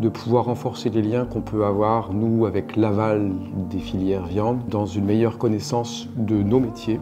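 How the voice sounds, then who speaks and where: Fairly even intonation at a moderate pace, with audible room echo and music in the background. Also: man, fairly low pitch for a man. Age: 50s. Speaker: farmer. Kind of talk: interview. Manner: hesitant, many fillers.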